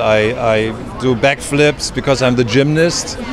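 In a German accent, a man speaks at a fairly slow pace, the sound dry with no echo and noticeable background noise behind him. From Germany. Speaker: actor. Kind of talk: red carpet interview. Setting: red carpet event. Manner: halting. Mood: jovial, playful. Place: street. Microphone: handheld.

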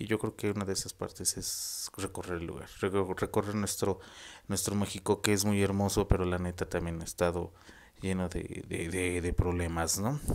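A man talks in a very deep, low voice. His intonation is monotone and flat. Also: moderate pace. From Mexico. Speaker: vlogger. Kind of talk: casual monologue to camera. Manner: halting. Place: home room. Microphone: earbuds.

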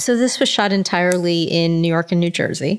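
Speaking at a moderate pace, a woman uses a fairly low pitch with ordinary pitch variation in a plain, everyday voice. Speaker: entertainment journalist and podcast host. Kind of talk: interview.

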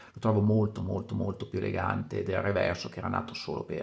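A man speaks with vocal fry in a monotone, flat intonation. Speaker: watch collector. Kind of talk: video presentation.

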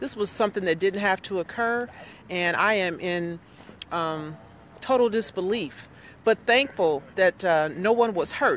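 A woman talks at a fairly slow pace with ordinary pitch variation. The sound is dry with no echo, over light background noise. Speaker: commentator livestreaming at an incident site. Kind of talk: casual livestream commentary. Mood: indignant, earnest. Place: street. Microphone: phone near.

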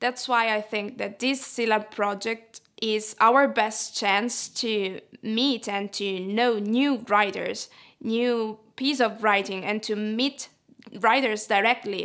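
A woman with an Italian accent speaks at a fairly slow pace. Her pitch is fairly high and her intonation fairly even. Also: quiet background. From Italy. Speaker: literary translator. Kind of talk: personal interview monologue. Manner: hesitant, with filler sounds. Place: studio. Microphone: lapel.

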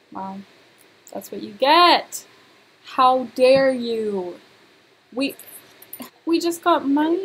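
Over music in the background, a woman with a high pitch speaks at a very slow pace, using lively intonation, big swings in loudness and long, frequent pauses. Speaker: gaming YouTuber. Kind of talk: let's play commentary. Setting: home recording. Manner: animated.

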